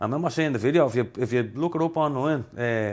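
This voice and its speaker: A man speaks very fast with a strong Dublin accent. His pitch varies in an ordinary way. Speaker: rapper. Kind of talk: casual podcast chat.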